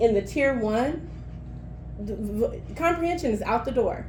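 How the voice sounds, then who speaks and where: Audible room echo carries a woman's high-pitched voice. She talks at a moderate pace with lively intonation. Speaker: teacher trainer leading a professional development session. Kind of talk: workshop presentation.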